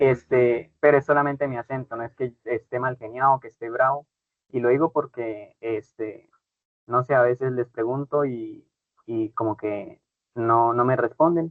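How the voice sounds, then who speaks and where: A man with a Santander Colombian accent speaks at a fairly slow pace. His intonation stays fairly even. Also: medium pitch for a man, big swings in loudness. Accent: Santander Colombian accent, brusque-sounding. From Colombia, Cúcuta (Santander region). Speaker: teacher. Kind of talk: online class. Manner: brusque-sounding.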